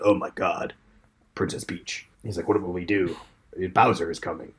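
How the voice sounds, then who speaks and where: A man puts on a raspy character voice with a very deep, low pitch, fairly even intonation and a moderate pace. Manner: alarmed, panicked.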